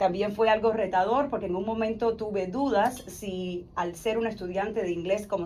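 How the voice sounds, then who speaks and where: A woman speaks at a medium pitch with ordinary pitch variation. Her pace is fairly quick, and there is noticeable background noise. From Cuba. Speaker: insurance advisor and former teacher. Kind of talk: interview testimony.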